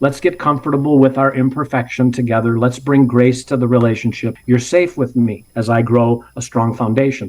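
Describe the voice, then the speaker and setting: A man speaks in a plain, everyday voice at medium pitch and a moderate pace, with very even loudness, fairly even intonation and hardly any pauses. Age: 60s. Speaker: parenting ministry co-founder. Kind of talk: interview. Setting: podcast.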